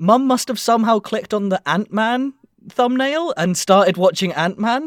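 A man speaks with an English accent. His intonation is lively. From England. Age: 20s. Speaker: podcast host. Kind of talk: casual chat.

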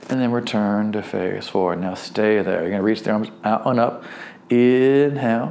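A man speaks with a normal speaking voice at a fairly low pitch. His pace is moderate and his pitch varies an ordinary amount. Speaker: fitness instructor. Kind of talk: guided movement class, step-by-step exercise instruction. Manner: friendly and encouraging, lightly humorous.

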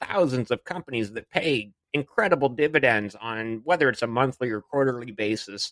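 A man with a Canadian accent speaks in a normal speaking voice at a medium pitch and a fairly quick pace. The sound is dry and close, with no echo. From Canada. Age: 40s. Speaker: dividend investor and podcaster. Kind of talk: podcast interview.

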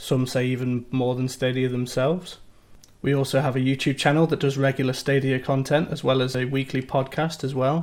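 This man talks at a fairly quick pace with a British accent. His medium-pitched voice stays monotone, with flat intonation. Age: 30s. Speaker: IT support worker and gaming community website creator. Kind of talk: interview. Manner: some hesitations (um, uh).

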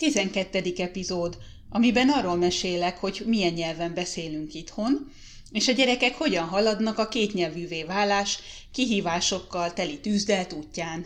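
Her intonation lively, a woman talks at a fairly slow pace and medium pitch. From Hungary. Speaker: podcast host, mother. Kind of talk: personal storytelling monologue. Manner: hesitant with fillers.

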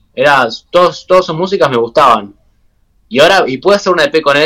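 Bright and sharp in tone, a man speaks in an Argentine accent at a fairly quick pace with ordinary pitch variation. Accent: Rioplatense Argentine Spanish. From Argentina, Buenos Aires. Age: 20s. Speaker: techno DJ. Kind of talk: casual interview chat. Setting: video call.

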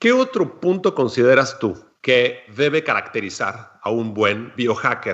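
The voice is an unremarkable speaking voice with lively intonation. It moves at a fairly slow pace. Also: man, medium pitch for a man. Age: 40s. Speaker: food chemist and epigenetic coach. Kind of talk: casual chat. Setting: studio.

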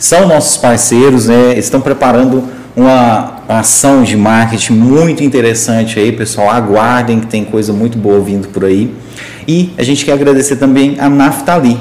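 A man talks at a moderate pace with medium pitch, ordinary pitch variation and very even loudness. Noticeable background noise and audible room echo accompany him. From Goiás, Brazil. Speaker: podcast host. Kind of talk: live podcast interview. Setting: studio, livestreamed.

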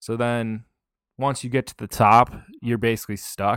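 In a Minnesota accent, a man talks at a fairly slow pace with a medium pitch and fairly even intonation on a very clean recording with a silent background. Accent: Upper Midwest (Minnesota) American. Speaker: disc golfer and YouTuber. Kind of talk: casual interview chat.

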